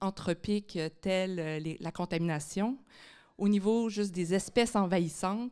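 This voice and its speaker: On a very clean recording with a silent background, a woman speaks with a Quebec accent. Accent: Québécois French. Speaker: biology professor. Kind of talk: public lecture.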